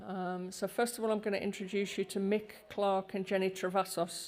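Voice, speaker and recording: At a moderate pace, a woman speaks in a medium pitch with monotone, flat intonation. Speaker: conference panel chair. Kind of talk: conference introduction.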